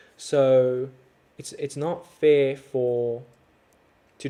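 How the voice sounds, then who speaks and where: A man with a South African accent and a fairly high pitch. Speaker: overlanding content creator. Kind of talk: livestream chat with viewers. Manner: casual, conversational.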